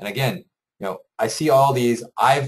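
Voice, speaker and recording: A man speaks with ordinary pitch variation. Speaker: software company host giving product demo. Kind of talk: tutorial. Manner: fast; conversational with fillers.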